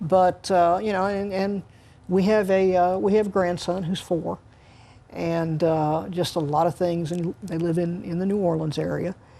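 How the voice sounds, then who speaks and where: A woman's fairly low-pitched voice at a moderate pace, with monotone, flat intonation. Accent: American. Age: 60s. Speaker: retiring high school sports writer. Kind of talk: interview. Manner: halting, many fillers and restarts.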